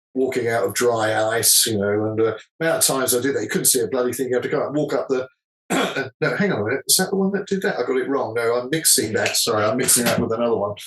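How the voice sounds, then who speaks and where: In an English accent, the speaker talks at a very fast pace with lively intonation and very even loudness. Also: man, medium pitch for a man. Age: 60s. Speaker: musician. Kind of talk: interview. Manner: halting, self-correcting.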